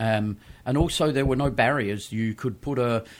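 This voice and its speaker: The man talks at a moderate pace with a fairly low pitch. He has an Australian accent. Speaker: winemaker. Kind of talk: casual chat. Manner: uses many filler 'um's.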